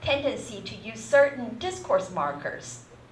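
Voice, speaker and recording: Noticeable background noise and audible room echo around a woman talking. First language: not English. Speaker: university lecturer. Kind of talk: lecture. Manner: hesitant, many fillers.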